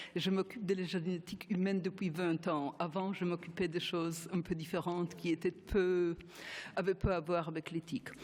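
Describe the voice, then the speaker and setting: A woman with a Polish accent speaks at a fairly low pitch with fairly even intonation, in a very clean recording with a silent background. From Poland. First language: Polish (speaking French). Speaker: geneticist, panel speaker. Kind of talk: conference talk. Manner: halting.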